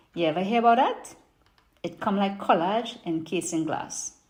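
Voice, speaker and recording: A woman with a Trinidadian accent speaks at a moderate pace and medium pitch. Her voice is somewhat breathy, with lively intonation. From Trinidad and Tobago. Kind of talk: poetry reading.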